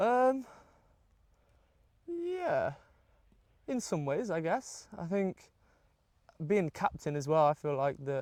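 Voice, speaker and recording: With very wide pitch swings in a high voice, a man speaks at a very slow pace with long, frequent pauses, on a very clean recording with a silent background. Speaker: amateur football captain. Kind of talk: casual interview. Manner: loud.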